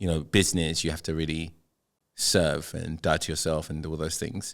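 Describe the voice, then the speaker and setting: At a fairly quick pace, a man speaks with a very deep, low pitch on a very clean recording with a silent background. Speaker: mentor and entrepreneur. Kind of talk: casual chat. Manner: loud; animated.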